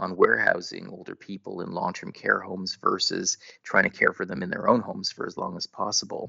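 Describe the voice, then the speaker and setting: Hardly pausing, a man talks at a fairly quick pace with big swings in loudness. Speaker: geriatrics physician and policy expert. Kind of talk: interview answers.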